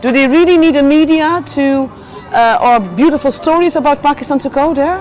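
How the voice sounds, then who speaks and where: Music plays in the background as a woman talks at a fairly quick pace. Her pitch is high, with ordinary variation. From Netherlands. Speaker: journalist. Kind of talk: casual chat. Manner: animated.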